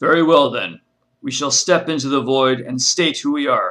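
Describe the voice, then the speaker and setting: The speaker puts on a character voice and keeps to a moderate pace. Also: man, fairly high pitch for a man. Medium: read story. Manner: commanding.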